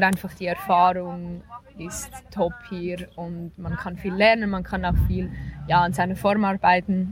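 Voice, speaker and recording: A woman speaking at a fairly slow pace amid noticeable background noise. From Switzerland. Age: 20s. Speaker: professional cyclist. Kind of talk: interview.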